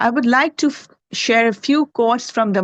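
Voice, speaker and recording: Over a quiet background, a woman speaks fairly quickly in a Pakistani accent. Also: dry, close sound with no echo. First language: Urdu. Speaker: health researcher presenting at a conference. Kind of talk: conference presentation. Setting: conference presentation with slides.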